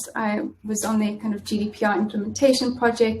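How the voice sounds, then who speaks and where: A woman with a South African accent speaks at a moderate pace. Her voice is somewhat breathy and fairly high in pitch. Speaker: in-house lawyer. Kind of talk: interview. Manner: halting, many fillers.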